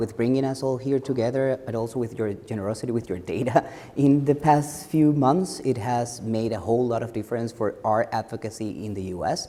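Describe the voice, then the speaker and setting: With an Ecuadorian accent, a man talks at a fairly quick pace and medium pitch, his pitch varying in an ordinary way, over noticeable background noise. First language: Spanish. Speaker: advocacy director. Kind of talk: panel discussion.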